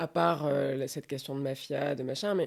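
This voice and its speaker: At a moderate pace, the speech sits on a very clean recording against a silent background. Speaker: podcast host. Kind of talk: interview questions.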